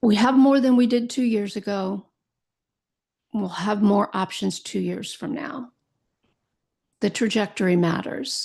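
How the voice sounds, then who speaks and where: A woman's somewhat breathy, medium-pitched voice at a fairly slow pace, with ordinary pitch variation, long, frequent pauses and a quiet background. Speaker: podcast host, Alzheimer's educator and caregiver. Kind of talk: educational podcast monologue. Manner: occasionally stumbling over words.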